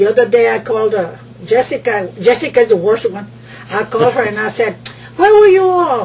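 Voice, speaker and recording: Over noticeable background noise, a woman talks at a fairly quick pace and fairly high pitch with very wide pitch swings. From South Texas (Benavides). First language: Spanish. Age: 70s. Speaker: family elder interviewee. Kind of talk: oral history interview. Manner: halting.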